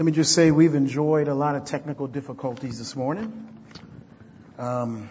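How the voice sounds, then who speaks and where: With audible room echo around him, a man speaks at a moderate pace in a fairly high, somewhat breathy voice, showing ordinary pitch variation and big swings in loudness. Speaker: pastor. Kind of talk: sermon.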